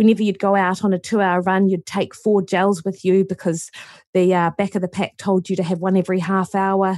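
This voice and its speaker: On a very clean recording with a silent background, a woman in a New Zealand accent speaks at a fairly quick pace, with monotone, flat intonation and very even loudness. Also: medium pitch for a woman, dry, close sound with no echo. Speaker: nutritionist and university lecturer. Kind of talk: casual interview chat.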